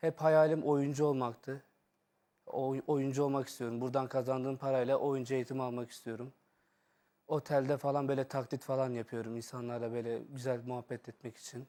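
A man's medium-pitched voice has a dark, mellow tone and a monotone, flat intonation at a moderate pace. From Şanlıurfa, southeastern Turkey; in Istanbul since age 9. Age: 20s. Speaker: hotel worker and aspiring actor, impressionist. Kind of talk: street interview.

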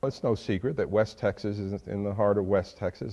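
In a dark, mellow tone, a man talks against a quiet background, his pitch varying in an ordinary way. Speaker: interview guest. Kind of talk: interview answer. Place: hall. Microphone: lapel.

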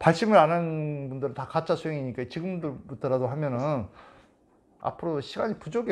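His pitch is fairly high. The man speaks at a moderate pace. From South Korea. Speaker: meditation teacher. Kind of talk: lecture. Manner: casual. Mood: earnest, exhorting. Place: home room. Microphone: lapel.

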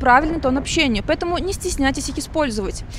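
A woman talks at a very fast pace with lively intonation. Music plays in the background. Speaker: TV journalist. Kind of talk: scripted narration.

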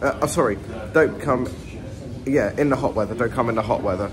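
There is noticeable background noise as a man talks. He goes at a fairly quick pace with ordinary pitch variation. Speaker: vlogger. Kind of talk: casual vlog chat. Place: shop. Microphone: phone near.

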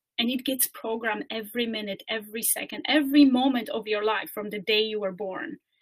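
Fairly quick delivery with ordinary pitch variation, hardly any pauses and a quiet background. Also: woman, fairly high pitch for a woman. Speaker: coach and speaker. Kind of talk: guided meditation; webinar presentation. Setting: video call webinar. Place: home room. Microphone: webcam.

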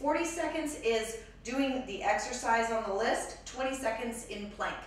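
Strong room echo surrounds a woman's high-pitched voice as she speaks at a fairly slow pace. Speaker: fitness instructor. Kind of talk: workout tutorial. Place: gym.

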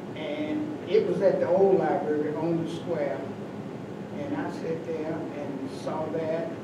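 Over loud background noise and audible room echo, a man with an American accent speaks at a very slow pace. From US South (western North Carolina). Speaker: community elder, retired postal worker. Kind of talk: oral history round table. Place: meeting room. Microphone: camera far.

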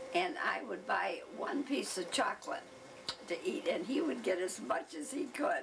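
With an American accent, a woman speaks at a fairly slow pace and her pitch swings very widely. Light background noise sits behind her. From Michigan, USA. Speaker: oral history interviewee. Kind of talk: oral history interview answer. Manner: hesitant, reminiscing. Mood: warm reminiscing. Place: home room.

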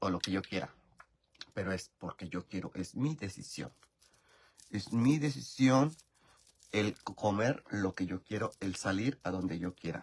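A man with a Mexican accent speaks at a fairly slow pace, his pitch fairly low. He leaves long, frequent pauses, and his pitch varies in an ordinary way. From rural Mexico. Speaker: YouTuber live-streaming while doing makeup. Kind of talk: casual live-stream chat. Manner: animated. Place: home room. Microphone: phone near.

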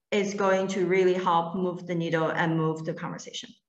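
A woman's bright, sharp voice at medium pitch, with ordinary pitch variation, carries some audible room echo. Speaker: panel moderator. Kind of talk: virtual panel discussion. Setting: video call. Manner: enthusiastic. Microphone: video call.

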